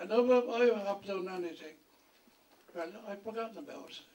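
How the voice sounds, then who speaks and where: Noticeable background noise surrounds a man speaking with a Dublin accent. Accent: Dublin Irish. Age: 80s+. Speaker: retired education board chair. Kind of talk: acceptance speech.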